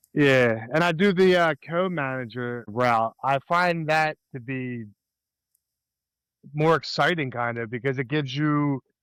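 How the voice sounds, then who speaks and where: A man with an American accent and a normal speaking voice talks at a fairly slow pace, fairly high in pitch with ordinary pitch variation. The recording is very clean with a silent background and a dry, close sound with no echo. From US, Delaware County, Pennsylvania. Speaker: podcast co-host. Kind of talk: casual chat.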